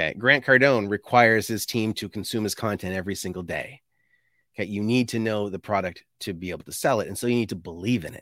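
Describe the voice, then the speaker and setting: Speaking very fast with a Canadian accent, a man uses a fairly low pitch and ordinary pitch variation. His tone is bright and sharp, his loudness swings widely, and the recording is very clean with a silent background. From Canada, New Brunswick. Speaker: sales consultant. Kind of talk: casual interview.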